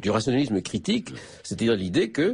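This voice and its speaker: Very fast, somewhat breathy delivery with lively intonation. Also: man. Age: 60s. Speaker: philosophy professor, author. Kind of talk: radio interview. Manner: halting, many repetitions and hesitations.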